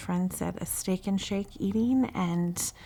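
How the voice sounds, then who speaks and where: A woman talks at a fairly slow pace. She has an American accent. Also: very clean recording, silent background. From US Midwest, Chicago area (Mundelein, Illinois). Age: 30s. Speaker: church member sharing testimony. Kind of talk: testimony. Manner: hesitant, many fillers.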